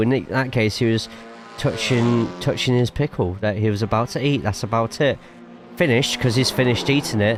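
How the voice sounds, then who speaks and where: Someone with an English accent speaks at a fairly quick pace with ordinary pitch variation over noticeable background noise. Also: man. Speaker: sim racing streamer and commentator. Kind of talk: live stream chat with commentary. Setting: live stream. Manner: casual, chatty.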